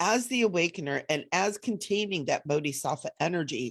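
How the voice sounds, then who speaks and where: In an unremarkable speaking voice, a woman talks fairly low in pitch with lively intonation. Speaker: spiritual teacher. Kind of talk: live online event talk.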